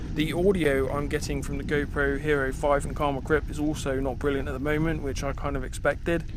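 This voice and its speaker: Noticeable background noise and audible room echo surround the recording. A man with a British accent speaks at a fairly quick pace with hardly any pauses. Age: 30s. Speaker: mountain biking vlogger. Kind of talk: vlog talk while riding. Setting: outdoors on a mountain bike trail. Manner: monotone. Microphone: action camera mic, poor audio.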